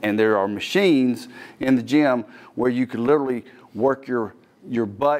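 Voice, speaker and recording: Medium pitch in a man's speaking voice. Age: 50s. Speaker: fitness trainer and TV host. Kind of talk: tutorial. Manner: casual, conversational. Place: gym. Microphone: lapel.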